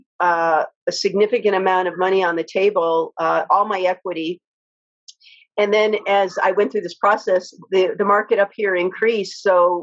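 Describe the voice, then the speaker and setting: Her medium pitch and fairly even intonation carry a woman's speech at a moderate pace. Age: 60s. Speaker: activist and homeowner. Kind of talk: interview. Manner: halting, many fillers.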